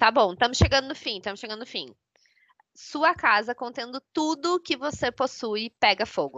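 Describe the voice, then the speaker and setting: This woman speaks at a moderate pace with a high pitch, lively intonation and big swings in loudness. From southern Brazil, São Leopoldo. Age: 30s. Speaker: podcast co-host. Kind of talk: casual chat.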